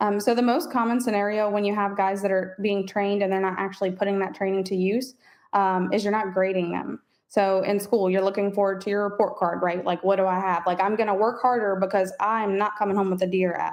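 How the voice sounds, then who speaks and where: Delivered at a very fast pace with an American accent, the speech has monotone, flat intonation and very even loudness over a quiet background. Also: woman, medium pitch for a woman. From US South, New Orleans (West Bank). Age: 20s. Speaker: HVAC business owner. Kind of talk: podcast interview.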